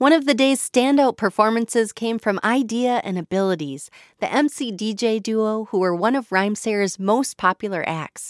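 A woman with a normal speaking voice and an American accent talks at a fairly high pitch and moderate pace, with lively intonation and hardly any pauses. The recording is very clean with a silent background, and the sound is dry and close with no echo. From Minnesota. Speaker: radio host and podcast narrator. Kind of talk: scripted narration.

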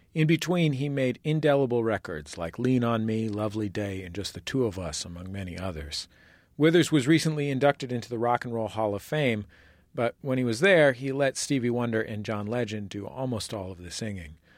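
In a very clean recording with a silent background, a man with an ordinary speaking voice and medium pitch talks at a fairly quick pace, his loudness swinging widely. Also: lively intonation. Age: 30s. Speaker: radio host. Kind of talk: interview; scripted narration. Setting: studio.

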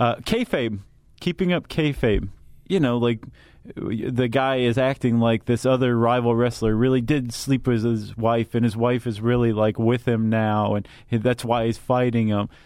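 A man with an ordinary speaking voice, at a moderate pace and very even loudness. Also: medium pitch for a man, fairly even intonation. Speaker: podcast host. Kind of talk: casual explanatory chat.

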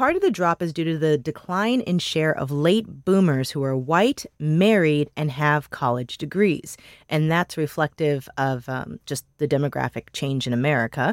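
A woman with a very deep, low voice talks at a moderate pace with hardly any pauses, the sound dry and close with no echo in a very clean recording with a silent background. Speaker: podcast host. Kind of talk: casual chat.

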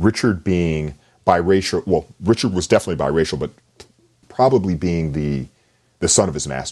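An American-accented man talks at a moderate pace with a very deep, low pitch and vocal fry. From US South. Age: 50s. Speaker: novelist and English professor. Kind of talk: interview.

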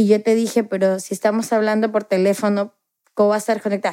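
Very fast and fairly high-pitched, a woman speaks in a dark, mellow tone, the sound dry and close with no echo on a very clean recording against a silent background. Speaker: interviewee, daughter of the subject. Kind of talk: interview storytelling.

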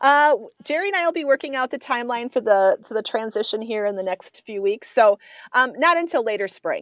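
Lively in intonation, a woman with an Upper Midwest accent talks at a fairly quick pace in a high voice. The recording is very clean with a silent background, dry and close with no echo. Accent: Upper Midwest American. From Minnesota, Twin Cities north metro. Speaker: state fair executive. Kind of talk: radio interview. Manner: halting.

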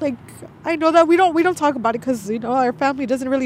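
A woman with a high pitch and ordinary pitch variation talks while noticeable background noise continues. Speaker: middle school teacher. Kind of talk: interview.

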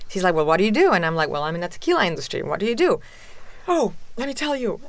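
A woman with a Spanish accent at a very fast pace. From Mexico City, Mexico. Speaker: tequila company founder. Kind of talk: interview.

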